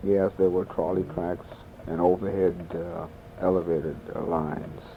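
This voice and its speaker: Over noticeable background noise, a man with a very deep, low pitch talks at a moderate pace in a monotone, flat intonation. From New York City. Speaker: oral history interviewee. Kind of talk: interview. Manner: halting.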